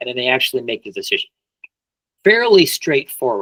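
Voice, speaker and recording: A man talks with an American accent. The sound is dry and close, with no echo. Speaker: business sales consultant. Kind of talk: webinar presentation. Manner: hesitant, with many fillers.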